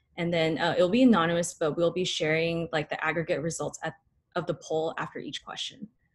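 At a fairly quick pace, the speaker delivers the words with a somewhat breathy sound. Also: woman. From Northern California, Bay Area; Northern California. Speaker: dental student; presenter. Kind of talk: student lecture presentation. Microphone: webcam.

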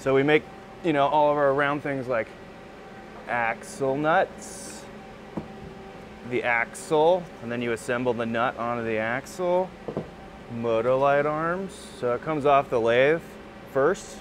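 A man at a fairly slow pace, with ordinary pitch variation, long, frequent pauses and noticeable background noise. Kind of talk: tutorial. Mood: relaxed, enthusiastic. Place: workshop. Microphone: lapel.

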